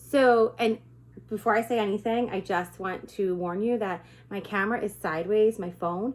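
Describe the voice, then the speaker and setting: This woman has an unremarkable speaking voice, medium in pitch, with fairly even intonation and a moderate pace. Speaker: direct sales consultant. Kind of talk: informal talk to camera. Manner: casual.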